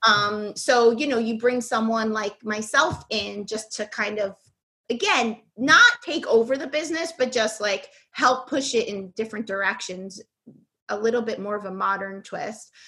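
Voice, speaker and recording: Speaking with an American accent, a woman with a fairly high pitch and a bright, sharp tone talks at a moderate pace with ordinary pitch variation. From New York City (Bronx). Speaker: cake designer and instructor. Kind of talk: casual interview.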